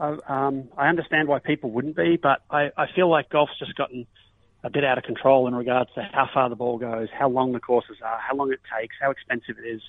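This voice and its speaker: A medium-pitched man with an Australian accent, at a fairly quick pace and with ordinary pitch variation. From Australia, Melbourne. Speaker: professional golfer. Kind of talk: casual interview.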